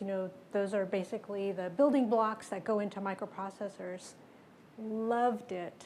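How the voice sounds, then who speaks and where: The speech has a Spanish accent. Its intonation stays fairly even. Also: woman. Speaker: tech executive. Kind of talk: panel discussion.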